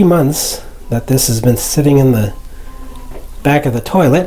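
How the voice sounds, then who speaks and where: With an American accent, a man speaks in a somewhat breathy voice at a fairly high pitch. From Arizona, US (Phoenix). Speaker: hobbyist video maker. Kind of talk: casual tutorial vlog. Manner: hesitant with fillers.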